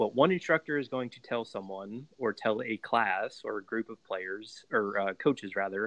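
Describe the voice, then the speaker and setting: Man with a plain, everyday voice and an American accent, medium pitch with ordinary variation, at a moderate pace. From Pittsburgh, US. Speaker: podcast host. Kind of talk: interview.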